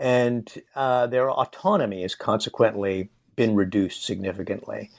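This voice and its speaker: In a very clean recording with a silent background, a man speaks at a fairly slow pace. He has a plain, everyday voice at a medium pitch. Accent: American. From Nevada. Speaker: history professor. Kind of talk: interview.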